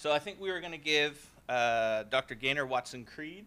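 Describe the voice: Speaking at a fairly slow pace, a man has a medium-pitched voice. His tone is clear and smooth, yet also bright and sharp.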